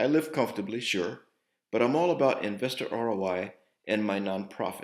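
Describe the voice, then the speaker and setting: A man speaks at a moderate pace with ordinary pitch variation. It is a plain, everyday voice. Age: 60s. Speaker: entrepreneur and investor. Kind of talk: investor pitch.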